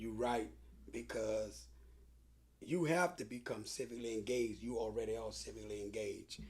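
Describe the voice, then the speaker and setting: The delivery holds a moderate pace but has long, frequent pauses. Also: man. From New Orleans, Louisiana. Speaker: community activist. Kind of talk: interview conversation.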